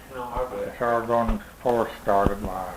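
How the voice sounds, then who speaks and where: With a Midwestern American accent, a man speaks at a medium pitch over noticeable background noise. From Missouri. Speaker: war veteran. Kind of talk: interview answer.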